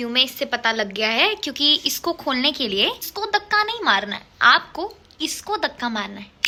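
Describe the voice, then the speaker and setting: A woman with a high pitch projects a raised voice in an animated tone, her pitch swinging very widely at a moderate pace amid noticeable background noise. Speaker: lifestyle vlogger. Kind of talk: casual vlog.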